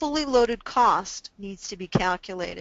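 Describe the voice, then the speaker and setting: The pace is moderate. This is an unremarkable speaking voice. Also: woman. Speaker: business consultant and webinar presenter. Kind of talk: webinar presentation. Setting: online webinar.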